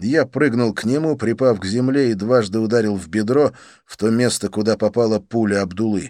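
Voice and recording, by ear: In a natural voice, the text is read aloud with ordinary pitch variation.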